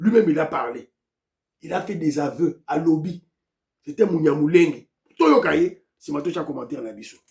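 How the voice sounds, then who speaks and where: A man with a fairly high pitch speaks at a moderate pace, with ordinary pitch variation, long, frequent pauses and big swings in loudness. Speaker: political commentator. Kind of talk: political commentary.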